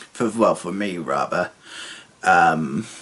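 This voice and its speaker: A man speaks over noticeable background noise. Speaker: student vlogger. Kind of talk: video diary vlog. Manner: halting, many fillers.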